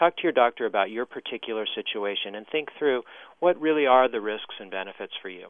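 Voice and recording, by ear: A man speaks fast with lively intonation. His pitch sits in the medium range.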